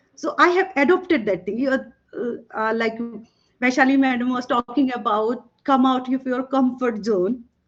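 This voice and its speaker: A woman's high-pitched voice with a Bengali accent and ordinary pitch variation. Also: moderate pace. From Northeast India, Tripura. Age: 50s. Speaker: toxicologist and former professor. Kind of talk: panel talk.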